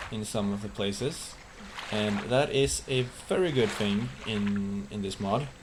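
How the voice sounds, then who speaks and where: With a non-native accent, a man talks at a fairly slow pace in a fairly low pitch with ordinary pitch variation, amid audible room echo and noticeable background noise. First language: not English. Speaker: gaming YouTuber. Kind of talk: let's play commentary. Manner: casual, with hesitations.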